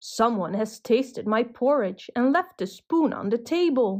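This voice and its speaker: A woman puts on a gruff character voice, fairly high in pitch. She has lively intonation and keeps a moderate pace. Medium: read story.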